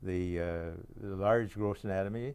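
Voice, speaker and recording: In a very clean recording with a silent background, a man speaks with a very deep, low pitch, a dark, mellow tone, and fairly even intonation. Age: 80s+. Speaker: retired anatomy professor and textbook author. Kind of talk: interview. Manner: halting.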